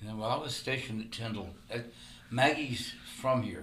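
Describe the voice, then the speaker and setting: Noticeable background noise and audible room echo around a man with an American accent. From Florida, Tampa area. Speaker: musician, Air Force veteran. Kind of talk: interview.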